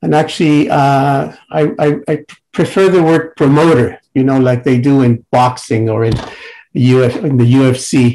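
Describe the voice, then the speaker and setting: Speaking at a moderate pace, a man with a medium-pitched, dark, mellow tone keeps his loudness very even and his pitch variation ordinary. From Mexico. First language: Spanish. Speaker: psychiatrist and researcher. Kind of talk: panel presentation. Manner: halting, many fillers.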